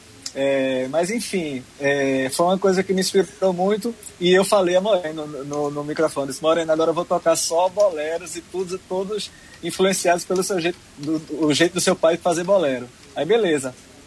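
A high-pitched male voice at a moderate pace, with ordinary pitch variation and noticeable background noise. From Pernambuco, Brazil (Arcoverde). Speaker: singer-songwriter. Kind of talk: interview. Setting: online remote interview.

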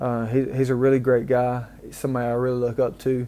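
In a Southern US accent, a man speaks at a moderate pace and medium pitch with monotone, flat intonation. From Mississippi, US South. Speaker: podcast host. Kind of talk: solo rambling monologue. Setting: hotel room, recorded on a tablet with earbuds. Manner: rambling, halting, repeats himself, humble.

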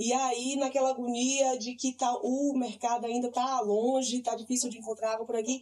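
A woman is speaking. Her voice is high in pitch. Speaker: podcast host. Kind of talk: casual chat.

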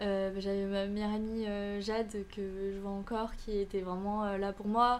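A woman speaks at a moderate pace with medium pitch. Her intonation is monotone and flat. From Canada. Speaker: student and content creator. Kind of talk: podcast interview.

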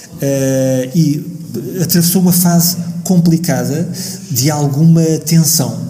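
Noticeable background noise and audible room echo fill the recording. A man speaks with fairly even intonation. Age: 50s. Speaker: architect and musician. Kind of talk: radio interview. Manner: halting.

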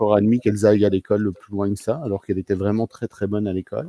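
The man's dark, mellow tone comes through with a dry, close sound and no echo. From eastern France (Montbéliard), later Réunion. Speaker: community worker and organizational coach. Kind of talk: casual interview conversation.

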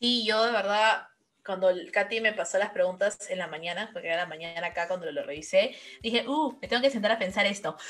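A woman's plain, everyday voice at medium pitch, with ordinary pitch variation and a fairly quick pace. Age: 20s. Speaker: graduate student. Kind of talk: casual interview.

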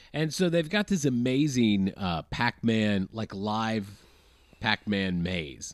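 An unremarkable speaking voice with an American accent and lively intonation. The recording is very clean with a silent background, and the sound is dry and close with no echo. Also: man. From US South. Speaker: podcast guest. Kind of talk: casual chat.

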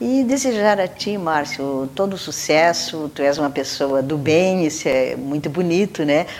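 A woman with a very deep, low pitch speaks at a fairly slow pace with hardly any pauses and lively intonation. Background noise is noticeable. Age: 70s. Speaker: retired teacher and cultural figure. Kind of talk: interview.

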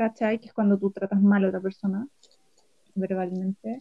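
A woman with a Chilean accent speaks at a medium pitch in a flat monotone, her dark, mellow tone recorded dry and close with no echo. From Chile, Chillán. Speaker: anthropologist and film festival director. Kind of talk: casual chat.

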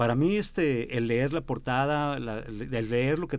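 Speaking at a medium pitch, a man with an unremarkable speaking voice lets his pitch vary in an ordinary way. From Mexico, San Luis Potosí. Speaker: musician. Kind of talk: radio interview.

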